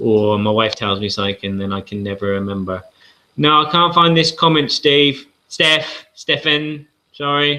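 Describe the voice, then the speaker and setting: A man speaks at a moderate pace with a southern English accent. His fairly high voice has lively intonation. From southern England. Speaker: board game channel host. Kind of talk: live-stream casual talk. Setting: live video hangout. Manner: rambling with hesitations.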